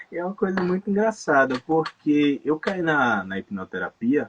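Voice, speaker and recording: Heard in a dry, close sound with no echo, a man speaks at a moderate pace, his fairly high pitch making very wide swings. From Salvador, Bahia, Brazil. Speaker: tattoo artist and hypnotherapist. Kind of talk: casual interview chat.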